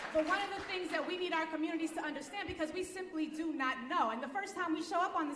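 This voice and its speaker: A woman talks very fast in a high pitch, with an animated tone and ordinary pitch variation. Audible room echo surrounds her voice. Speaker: racial justice lawyer. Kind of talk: conference presentation.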